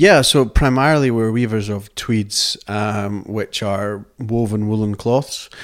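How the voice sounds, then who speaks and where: Speaking in a Scottish accent, the voice moves at a very slow pace with hardly any pauses. Its intonation is fairly even. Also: man, medium pitch for a man. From Scotland, outside the Borders. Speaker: company director. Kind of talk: interview. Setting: tweed mill.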